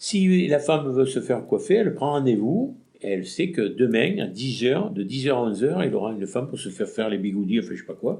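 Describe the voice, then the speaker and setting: A man with a dark, mellow tone and medium pitch speaks at a fairly quick pace with very wide pitch swings, in a very clean recording with a silent background. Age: 60s. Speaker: retired shopkeeper. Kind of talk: interview. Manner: halting.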